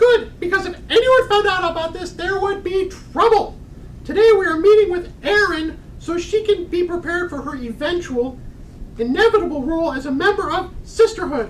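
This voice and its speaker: A woman puts on a character voice at an extremely high pitch, with lively intonation over clear background noise. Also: moderate pace, big swings in loudness. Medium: stage play. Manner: prim, formal.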